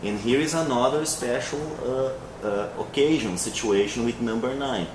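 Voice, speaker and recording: The pace is fairly slow, with ordinary pitch variation. Room echo is audible and background noise is noticeable. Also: man. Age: 20s. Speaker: English teacher. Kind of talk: interview. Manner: hesitant, with many fillers.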